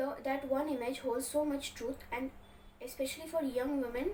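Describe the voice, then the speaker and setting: A woman's high-pitched voice at a moderate pace. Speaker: book vlogger. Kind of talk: book review monologue. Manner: stuttering, self-correcting.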